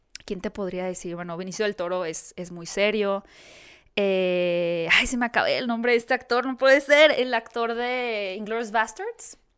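On a very clean recording with a silent background, a woman with a normal speaking voice talks at a moderate pace and a fairly high pitch, with ordinary pitch variation and big swings in loudness. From Mexico, Hermosillo (Sonora). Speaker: interviewer and video creator. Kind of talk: casual chat.

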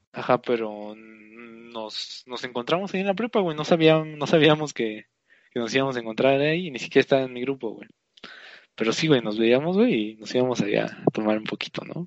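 A man with an unremarkable speaking voice at a medium pitch, fairly quick in pace, with lively intonation and big swings in loudness. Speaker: podcast co-host. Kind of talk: casual chat.

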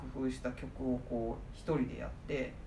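A woman talks at a moderate pace, and audible room echo can be heard. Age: 40s. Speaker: office worker, podcast guest. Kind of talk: casual chat.

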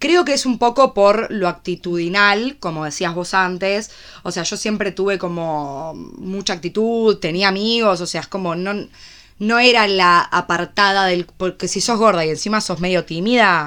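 A woman's medium-pitched voice with a Rioplatense accent, fairly slow in pace, ordinary pitch variation, and a very clean recording over a silent background. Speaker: podcast co-host. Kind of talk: casual chat.

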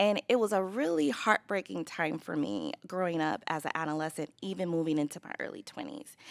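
A woman's fairly low, animated voice with lively intonation, fairly quick with hardly any pauses, dry and close with no echo. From Los Angeles, California. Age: 30s. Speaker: business owner. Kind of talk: casual interview chat.

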